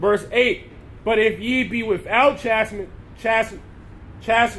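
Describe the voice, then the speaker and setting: A loud man's voice, high in pitch, at a moderate pace with ordinary pitch variation and audible room echo. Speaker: street preacher. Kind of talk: sermon.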